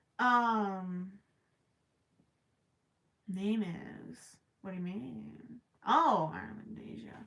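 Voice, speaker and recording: In a put-on character voice, a woman of medium pitch mumbles very slowly with lively intonation and long, frequent pauses. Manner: mumbling.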